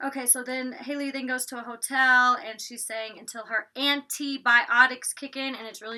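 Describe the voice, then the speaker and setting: In a bright, sharp tone, a woman with a Southern US accent speaks at a moderate pace. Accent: Southern twang, drops T's. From US South, Georgia. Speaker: YouTuber reviewing reality TV. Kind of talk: casual vlog review. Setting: recording in her closet. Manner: chatty, filler-heavy.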